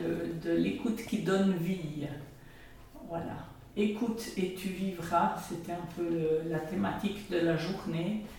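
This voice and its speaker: Very slow speech with fairly even intonation, audible room echo and noticeable background noise. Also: woman. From Switzerland, Jura. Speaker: pastoral worker. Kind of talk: radio interview. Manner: halting.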